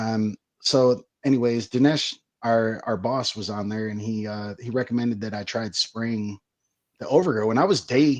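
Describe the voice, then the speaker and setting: Using a plain, everyday voice at medium pitch, a man speaks at a moderate pace with ordinary pitch variation and big swings in loudness. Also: quiet background. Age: 30s. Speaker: grower and product company staff. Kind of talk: casual interview.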